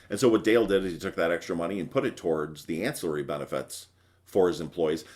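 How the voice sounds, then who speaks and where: In an American accent, a man with a very deep, low pitch speaks at a very fast pace. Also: ordinary pitch variation. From Wisconsin. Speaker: benefits broker. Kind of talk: presentation.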